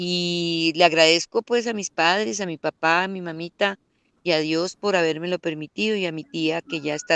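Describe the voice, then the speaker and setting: Her fairly low pitch shows ordinary variation as the woman speaks in a dry, close sound with no echo. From Colombia, Santander rural area, raised in Bogotá from age 7. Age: 60s. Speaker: rural women's community leader. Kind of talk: interview. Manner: hesitant, many fillers.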